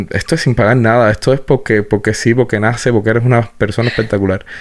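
At a very fast pace, a man with a medium pitch talks in fairly even intonation. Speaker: podcast host. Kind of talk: casual interview.

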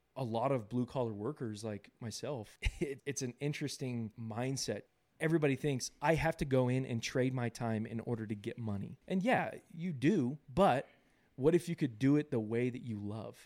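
With an American accent, a man talks in an ordinary speaking voice at medium pitch and a moderate pace, with ordinary pitch variation on a very clean recording with a silent background. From Southern California. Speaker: podcast co-host, business owner. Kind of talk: casual chat.

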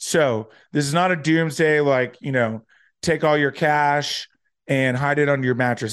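Set against a quiet background, a man uses an ordinary speaking voice, fairly high in pitch, with ordinary pitch variation. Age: 30s. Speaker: finance podcast host. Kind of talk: solo commentary on current events. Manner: casual, many filler words.

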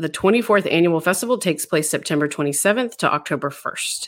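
In a very clean recording with a silent background, a woman with a plain, everyday voice and a fairly low pitch talks at a fairly quick pace with lively intonation. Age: 40s. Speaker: podcast host. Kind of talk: scripted intro and outro; interview.

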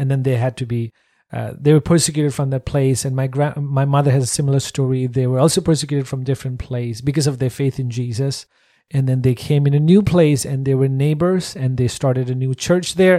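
Against a silent background on a very clean recording, a man speaks fairly quickly at a medium pitch with fairly even intonation and a dark, mellow tone. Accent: Nepali. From Nepal. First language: Nepali. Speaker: missionary, worship trainer. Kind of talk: interview.

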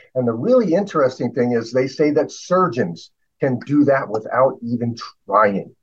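A man with a normal speaking voice talks at medium pitch and a moderate pace, with lively intonation. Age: 60s. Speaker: inventor. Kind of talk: casual chat.

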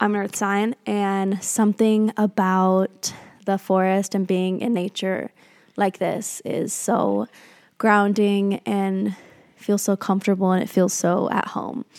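With a monotone, flat intonation, a woman of medium pitch speaks at a very slow pace in a very clean recording with a silent background and a dry, close sound with no echo. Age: 20s. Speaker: podcast host. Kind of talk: casual monologue. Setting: Airbnb in nature at sunset.

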